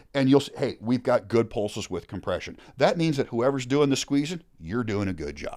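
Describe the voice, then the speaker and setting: A man talks at a moderate pace with hardly any pauses and a medium pitch. His intonation is lively, with vocal fry. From suburbs of Seattle, Washington. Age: 50s. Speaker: former firefighter. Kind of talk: casual interview conversation.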